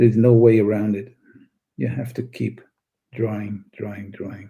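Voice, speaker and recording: A man speaks at a moderate pace in a fairly low, dark, mellow voice that is somewhat breathy. His pitch varies an ordinary amount, while his loudness swings widely. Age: 60s. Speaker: art teacher. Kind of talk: live stream chat. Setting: live stream.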